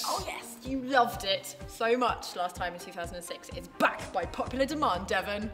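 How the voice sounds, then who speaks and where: Clear music plays behind a woman with a fairly high pitch and an excited, playful tone. She moves at a moderate pace with hardly any pauses, very wide pitch swings and big swings in loudness. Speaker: radio breakfast show presenter. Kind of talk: casual radio-style banter to camera. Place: hall.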